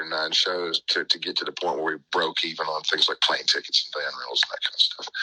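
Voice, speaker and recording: Against noticeable background noise, a man with an American accent speaks at a fairly quick pace. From Nashville, Tennessee, US South. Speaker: musician in a bluegrass band. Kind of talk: radio interview.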